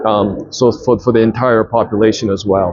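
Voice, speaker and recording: Over noticeable background noise, a man with a Japanese accent talks at a fairly slow pace in a medium pitch. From Japan, Tokyo. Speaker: businessman and investor. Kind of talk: interview. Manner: halting, many fillers and restarts.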